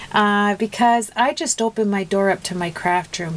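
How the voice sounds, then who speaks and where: A woman talks at a moderate pace. Her voice is medium in pitch with ordinary variation. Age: 60s. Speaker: craft video maker. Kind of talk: tutorial. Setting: home craft room. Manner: chatty, many fillers.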